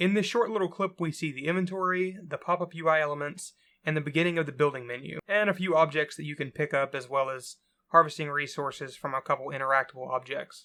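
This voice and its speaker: A man with a fairly high pitch talks at a very fast pace. His tone is bright and sharp. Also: ordinary pitch variation. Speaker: indie game developer. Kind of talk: game dev update narration.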